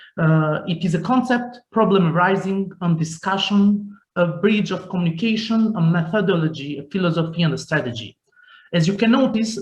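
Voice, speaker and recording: A man with an Albanian accent, high-pitched, with ordinary pitch variation at a moderate pace. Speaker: youth organization director. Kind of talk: panel talk. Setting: video call. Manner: halting.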